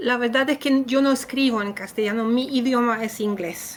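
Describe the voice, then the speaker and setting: The woman's intonation is monotone and flat. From Poland. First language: Polish (speaking Spanish). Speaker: writer. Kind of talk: interview. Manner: halting.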